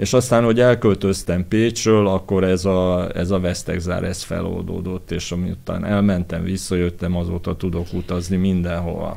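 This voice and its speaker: With noticeable background noise behind him, a man speaks in a very deep, low, monotone voice with flat intonation and hardly any pauses. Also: moderate pace. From Hungary, Pécs. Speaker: architect and set designer. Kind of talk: interview.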